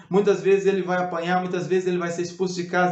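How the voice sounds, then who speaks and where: A high-pitched man's voice with audible room echo. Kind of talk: biblical teaching video.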